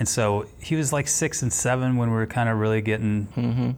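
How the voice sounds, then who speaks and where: A man with a normal speaking voice talks at medium pitch and a moderate pace, with ordinary pitch variation. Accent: American. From Texas, Houston. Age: 30s. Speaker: airline pilot in recovery. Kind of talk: personal testimony interview.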